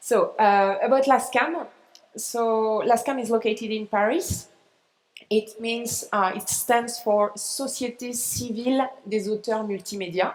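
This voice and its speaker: A woman's fairly high voice with a French accent, fairly even intonation and a fairly slow pace. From France. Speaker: arts organization representative. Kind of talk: conference presentation. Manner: halting. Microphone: echo.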